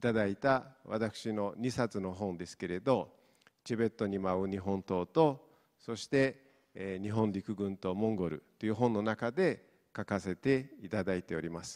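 The speech moves at a moderate pace with ordinary pitch variation and a Mongolian accent. The background is quiet. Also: man, fairly low pitch for a man. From Inner Mongolia, China. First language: Mongolian (speaking Japanese). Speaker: professor; university professor. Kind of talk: lecture. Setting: stage with audience. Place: hall. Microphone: handheld.

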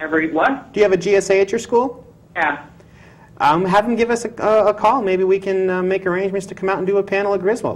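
This man speaks very fast in a high voice. His pitch varies in an ordinary way. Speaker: talk show co-host. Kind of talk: casual chat. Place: studio.

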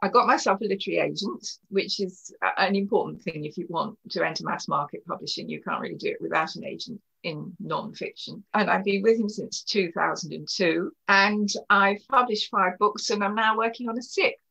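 In a southern English accent, a woman speaks at a moderate pace in a bright, sharp tone, with a medium pitch, vocal fry and ordinary pitch variation. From Kent, southeast England. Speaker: historian and author. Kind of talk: interview.

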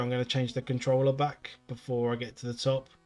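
A man with a British accent at medium pitch, music in the background. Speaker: video game streamer. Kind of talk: live gameplay commentary. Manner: casual, chatty with filler sounds.

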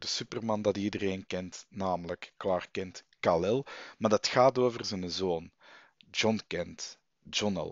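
A man at a very slow pace, dry sound with no echo and a quiet background. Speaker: vlogger and comic fan. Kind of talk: angry rant. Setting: home recording, late, headset mic. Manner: indignant, worked up, sarcastic. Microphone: headset.

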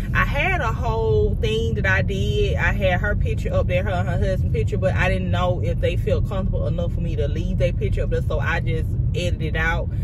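A woman talking at a fairly quick pace with hardly any pauses, in a dry sound with no echo, over loud background noise. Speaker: vlogger. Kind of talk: casual vlog chat. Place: car. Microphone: phone near.

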